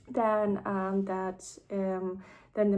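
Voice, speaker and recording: At a very slow pace, a woman with a non-native accent speaks at a medium pitch. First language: not English. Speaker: vlogger sharing personal experience. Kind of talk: casual personal vlog. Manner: hesitant, many fillers.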